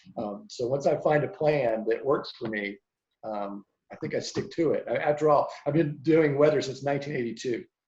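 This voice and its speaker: Somewhat breathy, a man with an American accent speaks at a fairly high pitch with ordinary pitch variation. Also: moderate pace. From US South. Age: 60s. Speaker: meteorologist. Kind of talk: interview. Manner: reflective.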